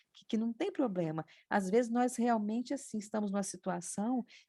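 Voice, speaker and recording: A woman's voice comes across as somewhat breathy, with a fairly high pitch. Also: very clean recording, silent background. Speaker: spiritist study group participant. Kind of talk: religious study discussion. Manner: trailing off in volume.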